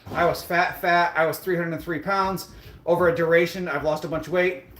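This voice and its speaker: Over noticeable background noise, a man talks at a fairly quick pace and high pitch. His intonation is monotone and flat. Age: 30s. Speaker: fitness livestreamer. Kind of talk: casual live stream chat. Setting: live stream on a treadmill. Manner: casual, conversational.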